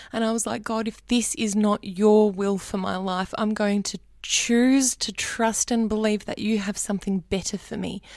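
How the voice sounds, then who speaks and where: In an Australian accent, a woman speaks with fairly even intonation and hardly any pauses, on a very clean recording with a silent background. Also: fairly high pitch for a woman, moderate pace. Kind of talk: testimony.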